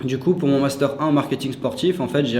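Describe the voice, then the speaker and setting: A man is heard amid noticeable background noise and audible room echo. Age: 20s. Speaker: SEO specialist and student. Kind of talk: interview. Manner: hesitant, many fillers.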